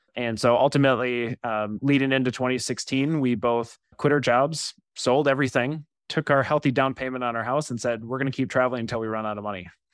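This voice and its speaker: A man with an American accent speaks at a very fast pace, his intonation fairly even. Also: medium pitch for a man. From US Midwest, Wisconsin. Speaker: data consulting company founder. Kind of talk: casual interview chat.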